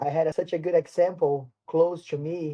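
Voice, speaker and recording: A man speaks with a Portuguese accent at a fairly slow pace. His pitch sits fairly high. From Brazil, São Paulo. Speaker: martial arts instructor. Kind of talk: interview. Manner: halting.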